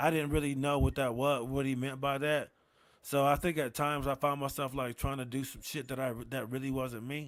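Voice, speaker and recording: Mumbling at a fairly quick pace, a man with a fairly high pitch and an American accent speaks in a monotone, flat way on a very clean recording with a silent background. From Rochester, New York. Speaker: comedian. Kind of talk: casual chat. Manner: low energy.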